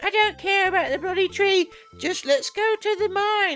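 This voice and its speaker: Someone delivers lines in a put-on character voice at an extremely high pitch and a moderate pace. Clear music plays in the background. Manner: dismissive, silly.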